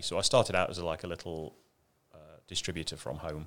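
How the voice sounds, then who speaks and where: A man's very deep, low voice in a monotone, flat delivery, on a very clean recording with a silent background. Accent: English. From England, Ashby de la Zouch (East Midlands). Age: 50s. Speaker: RC car company executive. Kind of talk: interview.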